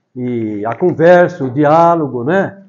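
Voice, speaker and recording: A man's fairly high voice with very wide pitch swings. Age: 70s. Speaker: retired teacher and author. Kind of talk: talk to school students. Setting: school classroom with audience. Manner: conversational, with hesitations.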